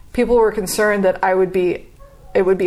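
There is noticeable background noise as a woman speaks at a medium pitch in a monotone, flat intonation. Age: 40s. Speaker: artist. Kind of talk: interview.

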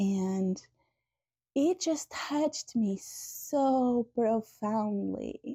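With lively intonation and a fairly high pitch, a woman speaks very slowly in a somewhat breathy voice of dark, mellow tone, recorded dry and close with no echo. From Portugal. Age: 30s. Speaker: tsunami survivor. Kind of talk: testimony. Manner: halting.

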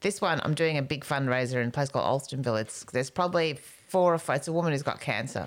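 Her voice is very deep and low in pitch, with an Australian accent. The woman talks at a very fast pace. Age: 50s. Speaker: comedian. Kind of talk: casual chat.

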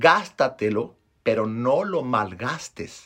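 Very slowly, a man speaks at a medium pitch. His intonation is lively. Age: 30s. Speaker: podcast host, motivational speaker. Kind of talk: motivational monologue. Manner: animated.

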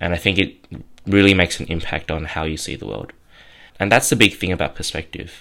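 A man's very deep, low voice with an Australian accent, vocal fry, a bright, sharp tone, lively intonation, and big swings in loudness at a fairly quick pace, in a very clean recording with a silent background. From southwestern Sydney, Australia. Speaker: podcast host, clothing brand founder. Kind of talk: solo monologue.

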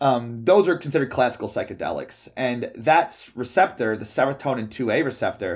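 A man speaks at a fairly quick pace in a normal speaking voice, medium in pitch, with lively intonation. The recording is very clean, with a silent background. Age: 30s. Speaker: pharmacology scientist. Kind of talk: casual chat.

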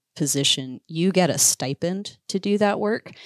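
Lively intonation and an American accent come through at a moderate pace in a very clean recording with a silent background and a dry, close sound free of echo. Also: woman. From Iowa. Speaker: conservation communicator and bird hunter. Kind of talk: casual interview chat.

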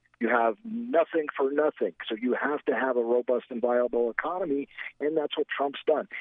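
In an unremarkable speaking voice with an American accent, a man talks at a fairly high pitch. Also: lively intonation, moderate pace. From US Midwest, Gary, Indiana. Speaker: political commentator. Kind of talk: political talk radio chat.

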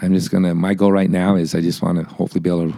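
A man talks at a very fast pace in a very deep, low voice. His tone is dark and mellow, and his intonation stays monotone and flat. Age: 50s. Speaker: amateur endurance cyclist. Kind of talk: casual chat.

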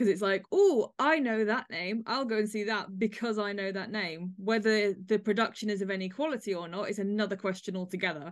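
Speaking with an English accent, a woman uses a medium pitch and ordinary pitch variation. Her pace is fairly quick, with hardly any pauses. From England. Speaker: podcast host. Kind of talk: panel discussion hosting.

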